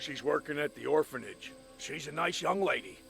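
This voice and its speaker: A man speaks in a raspy, put-on character voice at a moderate pace, with clear background noise behind him. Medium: short film.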